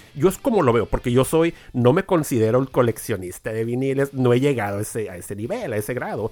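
Music plays behind a man talking at a very fast pace with hardly any pauses. His medium-pitched voice has lively intonation. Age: 40s. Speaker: podcast host. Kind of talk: casual interview.

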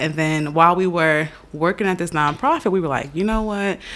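A woman talks at a fairly quick pace with an American accent, in a normal speaking voice. Her pitch is fairly low, with ordinary variation. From New York. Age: 20s. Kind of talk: casual chat.

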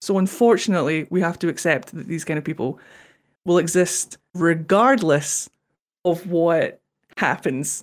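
In a Scottish accent, a woman speaks at a moderate pace with lively intonation, on a very clean recording with a silent background. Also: fairly low pitch for a woman, big swings in loudness. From Scotland. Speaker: podcast co-host. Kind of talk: casual chat.

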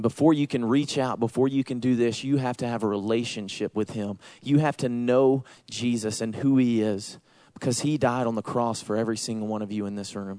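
In a Southern accent, a man speaks at medium pitch with a dark, mellow tone, fairly even intonation and a fairly quick pace over a quiet background. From US South, Georgia. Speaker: missions and outreach pastor. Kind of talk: sermon. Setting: church.

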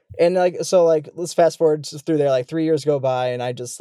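Heard in a dry, close sound with no echo, a man with an American accent speaks in a dark, mellow tone. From US Midwest, Chicago area. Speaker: wildlife photographer and filmmaker. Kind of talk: casual interview conversation. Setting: remote call from his bus home.

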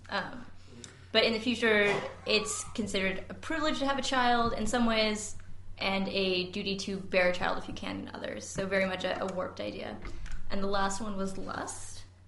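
A woman's speech moves at a medium speed as noticeable background noise carries on. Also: medium pitch for a woman, ordinary pitch variation. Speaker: book club co-host. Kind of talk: live book discussion with audience. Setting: live event with audience.

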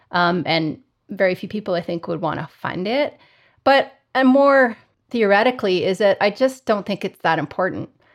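With an unremarkable speaking voice at medium pitch, a woman talks at a moderate pace and with lively intonation against a quiet background. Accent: Canadian. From Canada (Calgary). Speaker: psychology researcher and professor. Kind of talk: interview conversation.

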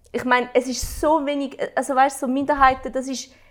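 A woman speaks in a high pitch with an animated tone. Noticeable background noise runs underneath. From Switzerland. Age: 20s. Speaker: interviewer. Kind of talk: casual chat.

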